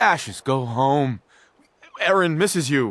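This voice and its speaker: A man does a put-on character voice, pitched fairly high and spoken at a fairly slow pace. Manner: over-the-top, exaggerated coaxing.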